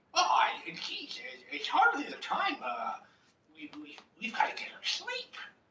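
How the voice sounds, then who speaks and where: Long, frequent pauses break up this put-on character voice, pitched extremely high and delivered at a moderate pace. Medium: actual play. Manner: formal, polite.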